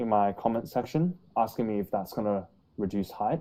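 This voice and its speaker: In an Australian accent, a man speaks at a moderate pace with ordinary pitch variation and a dark, mellow tone. The recording is very clean, with a silent background. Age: 20s. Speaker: YouTuber on height growth. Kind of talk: casual interview chat. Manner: hesitant, many fillers.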